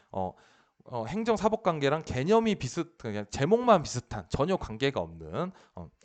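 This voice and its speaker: Against a quiet background, a man with a fairly high pitch speaks with very wide pitch swings and big swings in loudness, in a dry, close sound with no echo. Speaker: police officer teaching administrative law. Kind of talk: lecture. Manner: fast, slurred at times; hesitant, many fillers.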